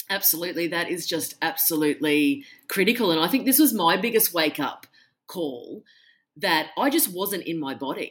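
In a very clean recording with a silent background, a woman with an Australian accent speaks at a moderate pace with a fairly low pitch. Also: lively intonation. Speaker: author. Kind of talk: casual interview.

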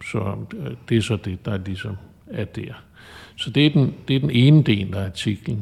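Somewhat breathy and fairly slow, the voice has lively intonation and long, frequent pauses. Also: man, medium pitch for a man. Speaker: chartered accountant and adjunct professor. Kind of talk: interview. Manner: halting.

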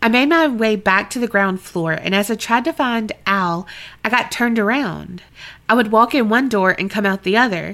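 This is a natural reading voice. It has ordinary pitch variation.

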